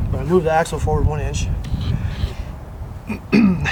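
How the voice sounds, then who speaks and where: This man's voice shows ordinary pitch variation, with noticeable background noise behind him. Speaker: truck mechanic. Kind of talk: casual talk to camera. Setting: outdoors.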